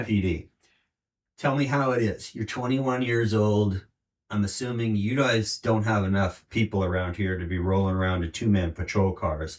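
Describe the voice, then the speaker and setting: A normal speaking voice talks at a moderate pace. The recording is very clean, with a silent background. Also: man, fairly low pitch for a man, ordinary pitch variation. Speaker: podcast interviewer. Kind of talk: interview question.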